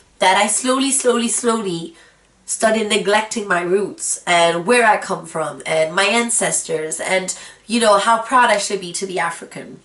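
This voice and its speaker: There is audible room echo and noticeable background noise as a woman speaks at medium pitch and a moderate pace with ordinary pitch variation. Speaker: vlogger. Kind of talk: personal vlog monologue.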